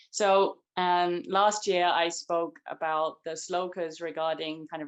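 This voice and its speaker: Delivered fairly slowly, the speech keeps a fairly level intonation. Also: woman. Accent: English. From England. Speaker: spiritual practitioner. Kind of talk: testimony. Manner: halting.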